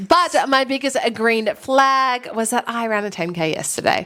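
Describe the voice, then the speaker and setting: The speaker has an Australian accent. Their pitch swings very widely. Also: woman. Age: 30s. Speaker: F1 podcast co-host. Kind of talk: casual chat.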